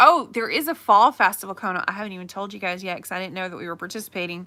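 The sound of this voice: The voice carries an American accent. Its loudness swings widely, with ordinary pitch variation. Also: woman, medium pitch for a woman.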